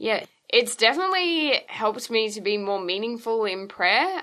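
A woman with an Australian accent speaks at a moderate pace in a fairly high voice with lively intonation. Her tone is bright and sharp over a quiet background. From Queensland, Australia. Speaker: lay missionary. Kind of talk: interview testimony.

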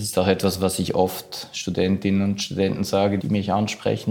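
A man's fairly low, monotone, flat voice with hardly any pauses. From Switzerland, Zurich. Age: 50s. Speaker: diplomat. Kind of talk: interview.

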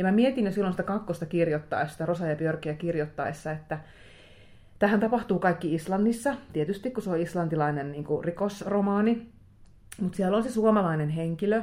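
Her dark, mellow tone and ordinary pitch variation carry this woman's speech along at a fairly quick pace. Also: medium pitch for a woman. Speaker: crime novelist. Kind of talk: casual interview chat. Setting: hotel room.

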